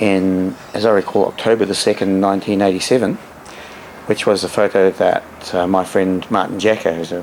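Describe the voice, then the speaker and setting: Over noticeable background noise, a man with an Australian accent talks at a fairly quick pace in a fairly low, monotone, flat voice. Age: 60s. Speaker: dolphin researcher. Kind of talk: interview. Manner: halting.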